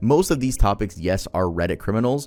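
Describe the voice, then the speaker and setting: A man is talking. Music plays in the background. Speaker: YouTuber. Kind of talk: scripted narration. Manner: casual.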